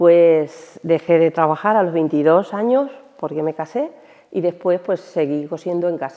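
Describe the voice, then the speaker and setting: This woman's voice sits fairly low, moving at a fairly slow pace with ordinary pitch variation. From Almansa, Albacete, Spain. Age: 60s. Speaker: retired shoe factory worker. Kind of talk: interview testimony. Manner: hesitant, with fillers.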